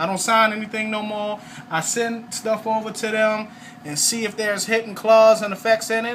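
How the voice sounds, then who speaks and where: Over noticeable background noise, a man speaks in a raised, projected voice with an animated tone. His pitch is high and his pace moderate. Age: 30s. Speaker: network marketing salesman. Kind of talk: testimony sales pitch. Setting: at home, video recording.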